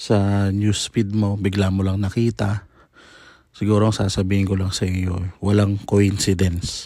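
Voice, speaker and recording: On a very clean recording with a silent background, a man with a fairly low pitch and a dark, mellow tone speaks at a fairly slow pace. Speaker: faith vlogger, devotee. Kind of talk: personal testimony narration. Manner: polite, earnest.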